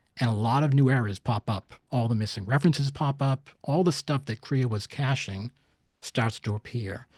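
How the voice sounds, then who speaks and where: In a very clean recording with a silent background and a dry, close sound with no echo, a man speaks at medium pitch with ordinary pitch variation and a somewhat breathy quality. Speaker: CAD software consultant and user group organizer. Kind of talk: technical presentation. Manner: fast.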